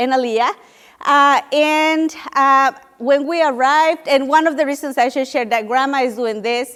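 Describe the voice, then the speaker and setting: Moderate pace and ordinary pitch variation, with a Spanish accent. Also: woman. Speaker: nonprofit program leader. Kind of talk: panel talk. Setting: room with audience.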